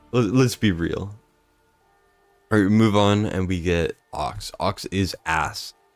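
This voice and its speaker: A quiet man's voice with ordinary pitch variation, in a dry, close sound with no echo. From Canada. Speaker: gaming streamer. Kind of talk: live gameplay stream commentary. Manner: quiet, subdued.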